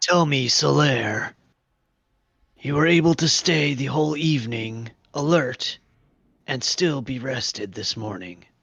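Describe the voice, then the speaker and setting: Putting on a character voice, a raspy-sounding man talks at a medium pitch and a fairly slow pace, his intonation lively and his pauses long and frequent. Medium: actual play. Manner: formal, polite.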